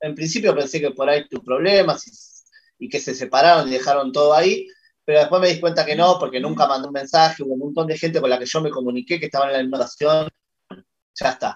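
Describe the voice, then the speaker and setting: A man with a Rioplatense accent talks at a very fast pace, his fairly high pitch moving with ordinary variation. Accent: Argentine Rioplatense Spanish. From Argentina. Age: 40s. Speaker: horror fiction writer. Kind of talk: casual interview chat.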